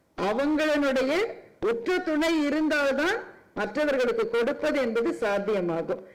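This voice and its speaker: Extremely high for a man, his voice swings very widely in pitch. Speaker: public speaker / orator. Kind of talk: public speech at a charity event. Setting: event stage with PA system. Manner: oratorical, emotive, building to thanks.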